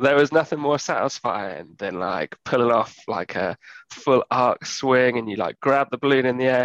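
A man with a plain, everyday voice speaks at a moderate pace and medium pitch, with ordinary pitch variation in a dry, close sound with no echo. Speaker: gaming podcast guest. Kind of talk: casual chat.

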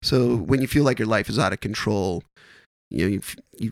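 Using an unremarkable speaking voice, a man with an American accent talks at a fairly low pitch and fairly quick pace, with ordinary pitch variation and a dry, close sound with no echo. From Wisconsin. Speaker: stand-up comedian. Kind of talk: casual chat.

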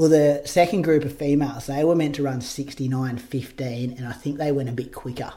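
With an Australian accent, a man talks at a moderate pace in a fairly high pitch, his tone dark and mellow, his intonation fairly even and his speech running with hardly any pauses. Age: 30s. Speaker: podcast host and marathon runner. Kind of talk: casual chat.

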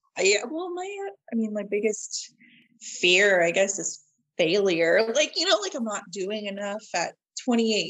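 In a normal speaking voice at medium pitch, a woman talks at a fairly slow pace with lively intonation. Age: 20s. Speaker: podcast guest sharing alopecia story. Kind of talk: casual chat.

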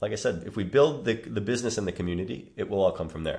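A man is speaking. He has a Chicago accent. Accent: Chicago American. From US Midwest, Chicago. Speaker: movement coach. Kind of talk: casual interview.

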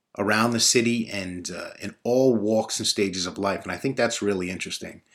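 Someone with a New York accent speaks at a moderate pace. The pitch varies in an ordinary way. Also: man. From Brooklyn, New York (Bay Ridge). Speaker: podcast host. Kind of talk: casual monologue; reading aloud.

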